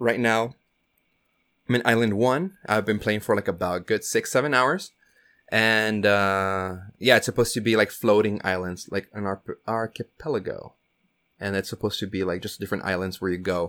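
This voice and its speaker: On a very clean recording with a silent background, a man with a normal speaking voice talks at a moderate pace, his pitch fairly low and his intonation fairly even. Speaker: podcast co-host. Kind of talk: casual chat. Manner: casual, filler-heavy.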